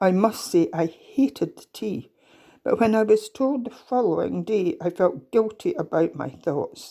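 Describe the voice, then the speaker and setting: Dark and mellow in tone, a woman's medium-pitched voice has lively intonation at a fairly slow pace. The recording is very clean, the background silent. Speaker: storyteller. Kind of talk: reading aloud.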